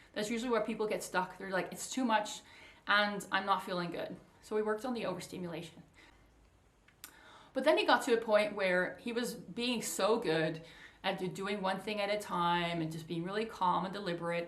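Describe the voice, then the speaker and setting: In audible room echo, a woman talks at a medium pitch and a fairly quick pace with ordinary pitch variation. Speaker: coach for highly sensitive people. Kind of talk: casual talk to camera. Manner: fast.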